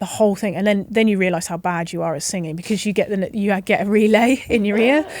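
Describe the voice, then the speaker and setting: A woman with an English accent talks at a very fast pace, with hardly any pauses. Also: medium pitch for a woman, ordinary pitch variation. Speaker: rugby referee. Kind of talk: casual chat. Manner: loud.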